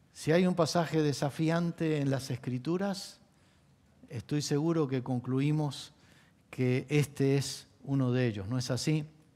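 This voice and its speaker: A man speaks at a fairly slow pace with a fairly high pitch and ordinary pitch variation. His tone is dark and mellow, and the recording is very clean with a silent background. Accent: Argentine. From Argentina. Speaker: pastor. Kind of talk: sermon.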